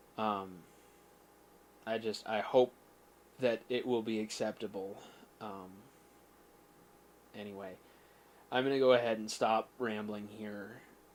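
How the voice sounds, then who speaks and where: A soft-spoken man with a fairly low pitch talks in a flat, monotone way. His loudness swings a lot, and he leaves long, frequent pauses. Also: fairly slow pace. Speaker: gaming channel host. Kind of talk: casual vlog update. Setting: at home. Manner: halting, many repeats. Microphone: quiet, gain turned up.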